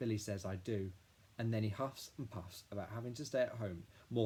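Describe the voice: The speaker is doing plain reading aloud.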